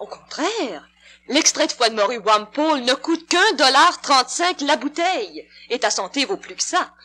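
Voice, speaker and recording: A raised, projected voice moves through very wide pitch swings at a fairly slow pace. Music plays in the background. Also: woman, high pitch for a woman. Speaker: radio actress. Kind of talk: dramatized radio commercial.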